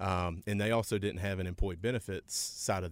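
A man speaks in a western North Carolina accent. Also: very clean recording, silent background. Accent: US South, western North Carolina. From western North Carolina, Rutherford County. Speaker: insurance company president. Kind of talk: interview. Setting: radio studio.

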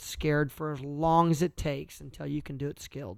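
Someone with a Midwestern US accent on a very clean recording with a silent background. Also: man. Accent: rural Midwestern American. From Kansas, US Midwest. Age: 30s. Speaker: entrepreneur. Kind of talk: casual interview. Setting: recorded late at night.

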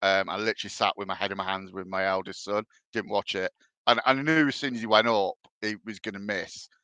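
With a Birmingham accent, a man talks at a very fast pace in a bright, sharp tone, with a fairly low pitch and ordinary pitch variation. The sound is dry and close with no echo, against a quiet background. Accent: Brummie. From English Midlands, Birmingham area. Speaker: football fan guest. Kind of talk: casual chat.

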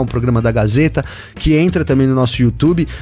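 Ordinary pitch variation marks a man talking at a fairly quick pace with a medium pitch. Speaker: motorsport podcast co-host. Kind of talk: casual chat. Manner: animated.

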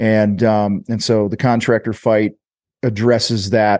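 This man has an American accent and a fairly low pitch. The sound is dry and close with no echo, over a quiet background. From US Midwest (Illinois). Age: 50s. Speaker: business coach and podcast host. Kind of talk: interview.

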